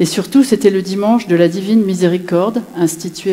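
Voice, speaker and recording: This woman has a fairly low pitch and fairly even intonation at a moderate pace. Noticeable background noise sits behind her. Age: 60s. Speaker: widow giving a faith testimony. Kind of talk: testimony.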